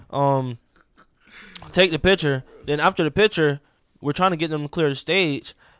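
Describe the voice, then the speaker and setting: At a moderate pace and with ordinary pitch variation, a man speaks in an ordinary speaking voice. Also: dry, close sound with no echo. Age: 20s. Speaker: musician. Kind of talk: casual chat.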